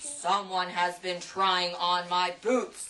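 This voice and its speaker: In a put-on character voice, a female-sounding speaker goes very slowly at a middle pitch, booming and gruff. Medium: read story. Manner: roaring.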